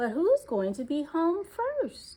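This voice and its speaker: A woman's put-on character voice, extremely high and with very wide pitch swings. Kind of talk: bedtime story. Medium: read story. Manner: gentle, warm.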